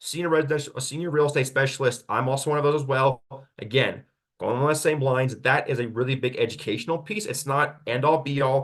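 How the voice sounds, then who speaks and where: A man at a fairly high pitch, talking at a very fast pace with ordinary pitch variation. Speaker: real estate agent. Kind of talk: webinar Q&A presentation. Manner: animated.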